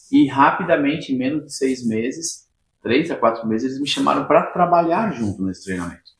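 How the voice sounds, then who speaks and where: A man's normal speaking voice, fairly high in pitch, with lively intonation. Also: fairly quick pace. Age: 50s. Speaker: personal development trainer. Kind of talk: interview.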